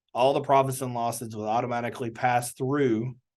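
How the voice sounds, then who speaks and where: A man talks at a fairly quick pace, his pitch in the medium range. The background is quiet. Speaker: government small business advisor. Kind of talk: webinar presentation. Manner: fast.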